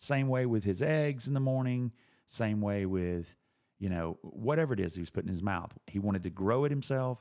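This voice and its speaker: An ordinary speaking voice from a man, fairly quick and lively in intonation, on a very clean recording with a silent background. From US South, South Carolina. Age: 50s. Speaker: podcast host. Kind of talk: casual chat; interview.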